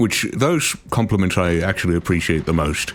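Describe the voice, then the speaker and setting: A man's very deep, low voice against noticeable background noise. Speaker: gaming YouTuber and voice actor. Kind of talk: gameplay commentary. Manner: halting, many fillers.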